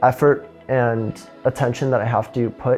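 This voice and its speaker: Against music in the background, a man with a Midwestern American accent speaks at a medium pitch in a monotone, flat intonation. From Illinois, USA. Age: 20s. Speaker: physics student. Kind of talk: interview answer.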